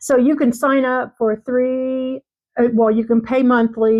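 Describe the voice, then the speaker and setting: A normal speaking voice with fairly even intonation, delivered at a moderate pace. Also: woman. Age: 60s. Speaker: beauty vlogger. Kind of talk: product unboxing review. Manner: casual with frequent fillers.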